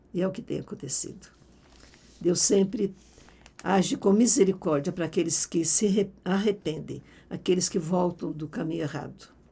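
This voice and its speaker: Somewhat breathy speech at a moderate pace, with ordinary pitch variation and long, frequent pauses. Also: woman, medium pitch for a woman. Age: 80s+. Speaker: Bible teacher. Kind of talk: Bible teaching talk.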